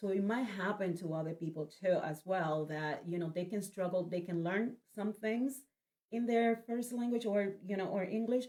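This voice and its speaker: At a moderate pace, a woman with a Spanish accent speaks with ordinary pitch variation. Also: medium pitch for a woman. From Spanish-speaking country, moved to US at 18. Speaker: event organizer, nurse. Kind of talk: casual interview. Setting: studio, livestream.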